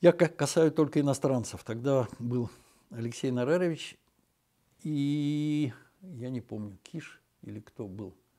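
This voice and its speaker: Against a quiet background, a man with a dark, mellow tone and a fairly high pitch talks at a very slow pace, with long, frequent pauses, ordinary pitch variation and big swings in loudness. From Moscow, Russia; Russia. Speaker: physicist. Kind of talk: interview reminiscence. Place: office. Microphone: lapel.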